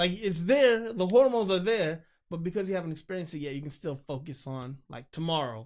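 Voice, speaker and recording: A man with an American accent talks in an animated tone at a high pitch, with lively intonation, big swings in loudness and hardly any pauses. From Los Angeles, California. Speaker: filmmaker. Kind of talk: podcast conversation.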